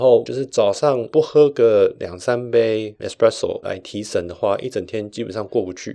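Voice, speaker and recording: With a Taiwanese accent, a man speaks at a moderate pace. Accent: Taiwanese Mandarin. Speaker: podcast host. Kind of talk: personal storytelling monologue.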